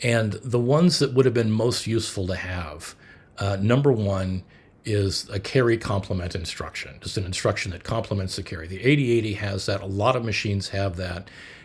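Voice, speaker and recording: A man speaks at a fairly quick pace. His voice is somewhat breathy, with ordinary pitch variation. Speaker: hobbyist computer builder. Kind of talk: technical explainer video. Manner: halting, many fillers.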